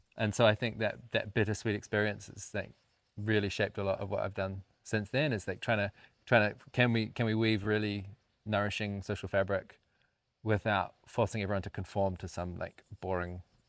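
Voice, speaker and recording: In a very clean recording with a silent background, a man with a fairly low pitch speaks at a moderate pace in a monotone, flat intonation. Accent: New Zealand. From rural New Zealand. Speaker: co-founder of a community house, podcast co-host. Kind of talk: casual chat.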